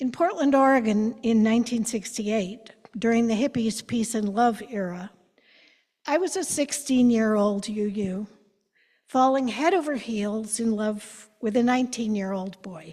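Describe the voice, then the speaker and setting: A fairly slow, somewhat breathy voice with a dark, mellow tone and ordinary pitch variation. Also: woman, fairly high pitch for a woman. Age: 70s. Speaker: church member sharing personal story. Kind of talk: prepared personal testimony. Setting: church.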